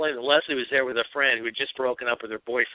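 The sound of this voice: The intonation remains fairly even. It belongs to an unforced reading voice.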